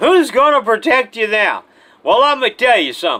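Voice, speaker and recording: A man with an American accent speaks at a moderate pace in a raised, projected voice with an extremely high pitch. His tone is bright and sharp, and his pitch swings very widely. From Missouri, US Midwest. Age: 70s. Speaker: retired army sergeant major, political commentator. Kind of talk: political rant. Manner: animated.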